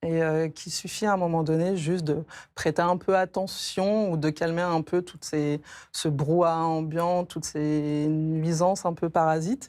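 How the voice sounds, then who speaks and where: A woman speaks at a fairly low pitch in a dark, mellow tone, with fairly even intonation and a fairly slow pace. The recording is very clean, with a silent background. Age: 40s. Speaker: catechumen preparing for baptism. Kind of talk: TV interview testimony. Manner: hesitant, many fillers.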